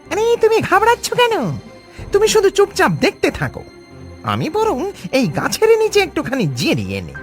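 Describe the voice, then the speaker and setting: A cartoonish character voice at extremely high pitch and moderate pace, with clear music in the background. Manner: casual, cocky.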